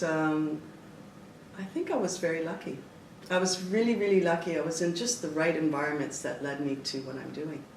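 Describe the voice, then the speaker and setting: A woman with a Canadian accent speaks with ordinary pitch variation over noticeable background noise, and the room echo is audible. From Toronto, Canada, Italian immigrant family. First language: Italian. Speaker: dancer and choreographer. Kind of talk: interview. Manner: animated, gesturing with hands; halting with fillers.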